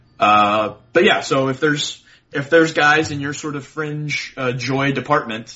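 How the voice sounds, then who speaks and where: The speaker is a man. His pitch variation is ordinary. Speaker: baseball prospect writer, podcast guest. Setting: phone. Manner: fast talker.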